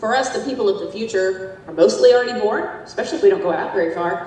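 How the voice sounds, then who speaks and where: Speaking fairly quickly in a Southern US accent, a woman at medium pitch makes very wide pitch swings, with audible room echo and noticeable background noise. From US South. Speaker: demographer. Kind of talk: lecture.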